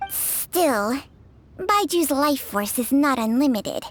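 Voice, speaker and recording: A put-on character voice delivers the lines fairly slowly. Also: female-sounding voice. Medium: video game. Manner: sharp-tongued and bossy.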